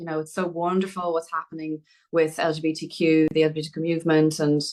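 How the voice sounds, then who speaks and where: A woman speaks in a fairly low pitch with an Irish accent. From Dublin, Ireland. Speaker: film writer and director. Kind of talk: podcast interview answer.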